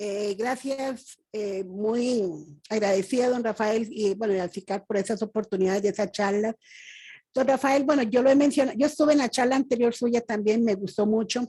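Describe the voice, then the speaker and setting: The tone is dark and mellow, with ordinary pitch variation at a moderate pace. The recording is very clean, with a silent background. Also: woman, fairly high pitch for a woman. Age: 60s. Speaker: audience member. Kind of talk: testimony.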